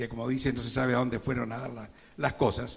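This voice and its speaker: Noticeable background noise sits under talking that runs at a fairly quick clip. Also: man. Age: 70s. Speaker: advertising copywriter presenting a novel. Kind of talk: book launch presentation speech.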